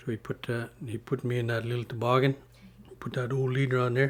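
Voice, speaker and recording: Somewhat breathy and flat in intonation, a man talks at a fairly quick pace with a medium pitch. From Northwest Territories, Canada (Mackenzie Delta, Inuvialuit and Gwich'in). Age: 50s. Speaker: community elder and public official. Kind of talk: storytelling interview. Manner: halting, with many fillers.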